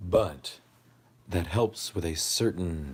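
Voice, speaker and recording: A man speaks at a very deep, low pitch in a somewhat breathy voice. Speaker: ASMR livestreamer. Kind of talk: casual livestream chat. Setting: livestream.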